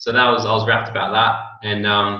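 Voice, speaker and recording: A man is talking. His accent is Australian. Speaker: network marketing distributor. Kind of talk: interview.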